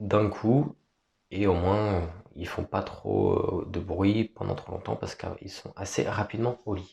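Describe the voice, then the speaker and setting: A man speaks at a very slow pace. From France. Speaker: vlogger. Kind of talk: casual vlog talk. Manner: hesitant.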